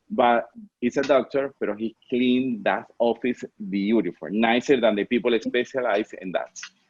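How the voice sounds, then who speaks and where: This man's medium-pitched voice moves at a moderate pace with ordinary pitch variation. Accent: Spanish. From Venezuela. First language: Spanish. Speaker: fashion designer. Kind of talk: interview. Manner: halting.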